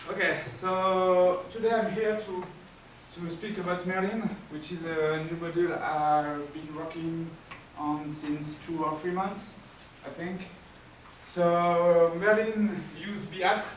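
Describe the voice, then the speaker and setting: With a strong French accent, a man speaks very slowly in a high voice with fairly even intonation and long, frequent pauses, amid noticeable background noise and audible room echo. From France. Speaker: software developer. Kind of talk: conference talk. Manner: halting, with many fillers.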